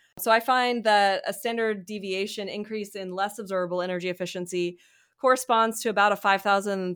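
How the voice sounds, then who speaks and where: A woman with an American accent has an unremarkable speaking voice at a medium pitch, with fairly even intonation. She talks at a fairly quick pace on a very clean recording with a silent background. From US South, Mississippi. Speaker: economics professor. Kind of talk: interview about research.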